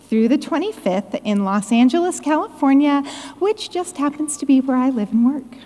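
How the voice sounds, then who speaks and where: Loud and lively in intonation, a woman speaks at a high pitch. Noticeable background noise can be heard. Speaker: conference committee member. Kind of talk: conference announcement. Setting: conference stage with audience.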